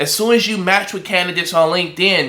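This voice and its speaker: A man's animated, high-pitched voice at a very fast pace, with ordinary pitch variation and noticeable background noise. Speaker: recruiter and online business coach. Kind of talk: tutorial.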